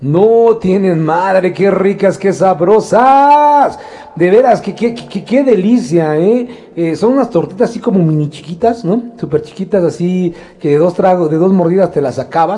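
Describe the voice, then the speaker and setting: A man's high-pitched, lively voice over noticeable background noise. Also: fairly slow pace. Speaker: radio producer and co-host. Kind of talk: casual radio chat.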